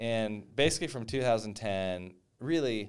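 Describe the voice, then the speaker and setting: A man's fairly low voice with an American accent, an unremarkable speaking voice with lively intonation. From eastern New Mexico, near West Texas. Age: 50s. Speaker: real estate investor. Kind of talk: casual interview.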